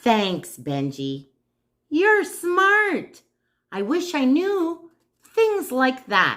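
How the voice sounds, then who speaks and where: A woman puts on a character voice with a high pitch. She speaks at a very slow pace. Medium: read story. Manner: slow, grumbling.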